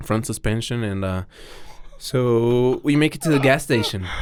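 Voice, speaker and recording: A man with a Spanish accent speaks at a fairly slow pace. His pitch variation is ordinary. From Mexico. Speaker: BMX rider. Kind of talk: casual chat.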